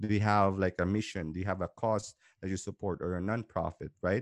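A speaker with a Filipino accent uses fairly even intonation. The sound is dry and close with no echo, over a quiet background. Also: man. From Philippines. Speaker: entrepreneur and podcaster. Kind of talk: interview conversation. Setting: remote call.

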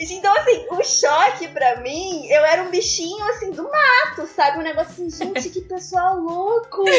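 Over noticeable background noise, a woman with an extremely high pitch talks with hardly any pauses, her pitch swinging very widely and her loudness shifting a lot. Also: moderate pace. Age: 20s. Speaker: dancer and dance student. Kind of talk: casual interview chat.

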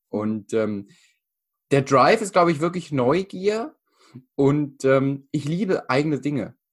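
Pausing long and often, a man speaks at a very slow pace in a fairly high pitch with lively intonation. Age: 20s. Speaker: mental coach and speaker. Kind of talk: interview conversation. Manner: halting, many fillers.

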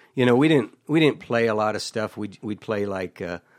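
A man talks at a moderate pace with ordinary pitch variation and an unremarkable speaking voice. The recording is very clean, with a silent background. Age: 60s. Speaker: country singer-songwriter. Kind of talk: casual chat.

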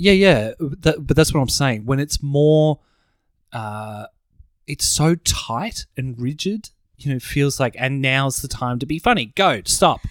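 A man with an Australian accent talks at a fairly slow pace. His pitch is fairly high, and his intonation is lively. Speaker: podcast co-host. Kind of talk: casual chat.

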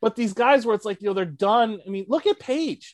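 In an American accent, a man speaks fairly quickly at an extremely high pitch, the sound dry and close with no echo over a quiet background. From Michigan, Macomb County (Detroit area). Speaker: small-city economic development director. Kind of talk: casual interview chat.

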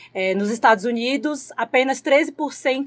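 A woman speaks in an ordinary speaking voice at a fairly slow pace, with ordinary pitch variation. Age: 20s. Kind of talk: casual interview.

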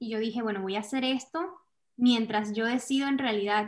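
This is an ordinary speaking voice. The intonation stays fairly even. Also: woman. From Venezuela. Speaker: content creator. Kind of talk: interview.

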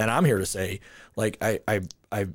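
A man with an American accent talks in a normal speaking voice at a fairly quick pace. His intonation is fairly even, and the recording is very clean with a silent background. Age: 40s. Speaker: podcast host. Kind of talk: casual interview chat.

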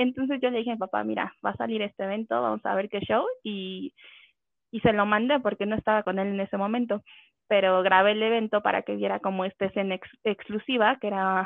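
In a plain, everyday voice, a woman at medium pitch talks at a fairly quick pace with ordinary pitch variation. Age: 20s. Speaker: gamer, communications professional. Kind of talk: casual chat.

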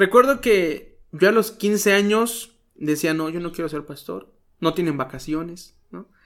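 A man with a high pitch speaks at a fairly slow pace in an animated tone, with lively intonation and big swings in loudness. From Mexico, Guerrero (Chilpancingo). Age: 20s. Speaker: pastor and radio announcer. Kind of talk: casual interview. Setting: outdoors. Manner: animated, joking.

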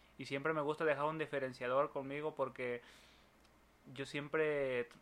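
With a Mexican accent, a man speaks in a bright, sharp tone. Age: 30s. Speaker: builder. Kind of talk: casual chat.

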